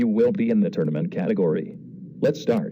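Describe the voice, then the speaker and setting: This is a cartoonish character voice with a deadpan tone. It runs at a fairly quick pace. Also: man. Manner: deadpan announcer.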